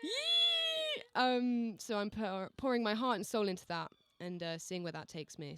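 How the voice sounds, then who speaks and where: A woman with an English accent, fairly high pitch and very wide pitch swings, at a fairly slow pace amid noticeable background noise. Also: hardly any pauses. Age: 20s. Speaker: singer-songwriter. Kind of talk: casual radio interview.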